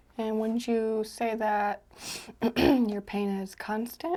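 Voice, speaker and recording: The voice is soft-spoken. Every word comes out in a whisper. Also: woman. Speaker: chiropractor roleplay ASMR exam host. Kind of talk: real person ASMR roleplay, soft-spoken examination. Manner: soft-spoken, calm, whispered instructions.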